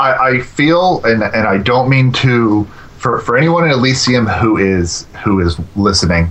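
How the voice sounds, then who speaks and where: A man at medium pitch with lively intonation and very even loudness, at a fairly slow pace, with noticeable background noise. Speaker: gaming forum writer. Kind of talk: casual chat.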